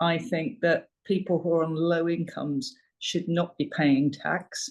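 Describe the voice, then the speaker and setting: Against a quiet background, a woman with a London accent speaks at a fairly slow pace in a fairly low pitch. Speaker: parliamentary candidate. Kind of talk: election hustings speech. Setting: online meeting. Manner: hesitant with many fillers.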